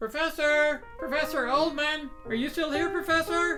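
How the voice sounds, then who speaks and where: A put-on character voice moves at a moderate pace. Music plays clearly in the background. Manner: stammering, hesitant.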